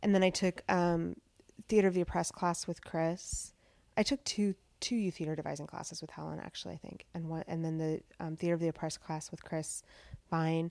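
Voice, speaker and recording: With an ordinary speaking voice, a woman talks at a fairly quick pace and a fairly low pitch, her intonation fairly even and her loudness swinging widely. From central Washington, US. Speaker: theater teaching artist. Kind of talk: interview. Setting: host's apartment.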